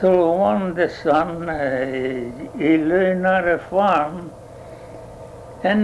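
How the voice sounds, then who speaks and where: Speaking at a very slow pace, a man uses a high pitch with ordinary pitch variation. Noticeable background noise runs underneath. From Italy. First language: Italian. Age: 80s+. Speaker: dairy farmer. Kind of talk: oral history interview answer.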